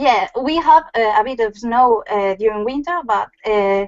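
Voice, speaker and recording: Lively intonation in a Spanish accent. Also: woman. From Galicia, Spain (Lugo). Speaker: craft blogger guest. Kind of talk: casual interview. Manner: halting, many fillers.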